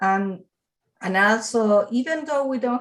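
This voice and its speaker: A woman speaks with a Spanish accent at a fairly high pitch. Her pace is very slow. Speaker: juvenile justice practitioner. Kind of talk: audience comment. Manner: halting.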